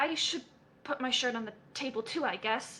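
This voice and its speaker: A woman puts on a character voice at a high pitch. She sounds nervous and keeps a moderate pace. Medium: game stream. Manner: nervous, halting.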